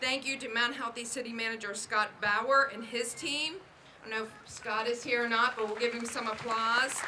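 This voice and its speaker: A woman's fairly even-toned voice, with audible room echo and crowd noise behind her. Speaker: library official. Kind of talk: ceremonial speech.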